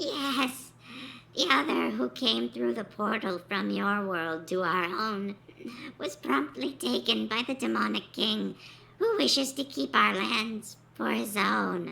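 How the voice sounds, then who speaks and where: A raspy, put-on character voice speaks at a fairly slow pace over light background noise. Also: female-sounding voice, medium pitch for a woman. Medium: read story. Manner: deferential, pleading.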